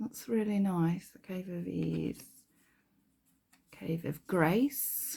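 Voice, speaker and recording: Speaking very slowly, a woman has a dark, mellow, somewhat breathy voice of fairly low pitch and a slight Kent accent. Her pitch varies in an ordinary way while her loudness swings widely. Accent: Kentish, slight. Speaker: spiritual card deck reviewer. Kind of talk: casual product flip-through. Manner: hesitant, many fillers.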